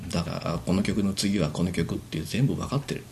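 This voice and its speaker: With very wide pitch swings, a man speaks in a fairly low, dark and mellow voice. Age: 50s. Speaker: amateur band musician. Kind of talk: casual chat.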